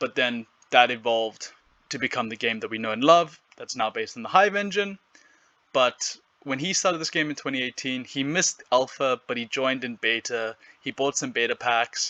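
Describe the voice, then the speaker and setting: This voice has a bright, sharp tone and a South African accent, with ordinary pitch variation. It moves at a moderate pace, and the sound is dry and close with no echo. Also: man, medium pitch for a man. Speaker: gaming YouTuber. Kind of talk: monologue recap of an interview. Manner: casual with fillers.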